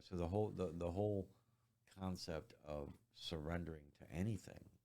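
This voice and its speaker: A man with a very deep, low pitch speaks at a moderate pace, his loudness swinging widely while his pitch varies in an ordinary way. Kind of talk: interview answer. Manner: soft-spoken.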